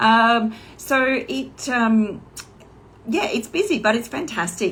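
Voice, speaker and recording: Here a woman speaks with an Australian accent and ordinary pitch variation. Room echo is audible. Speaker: online business coach. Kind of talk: casual livestream talk. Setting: Instagram live video. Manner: hesitant, many fillers.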